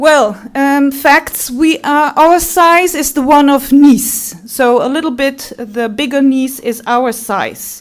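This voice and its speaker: A woman's high-pitched voice in a Limburg accent, very slow yet with hardly any pauses, over noticeable background noise. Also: ordinary pitch variation. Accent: Dutch (Limburg) accent in English. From Netherlands, Limburg. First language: Dutch. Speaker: tourism representative. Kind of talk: conference talk.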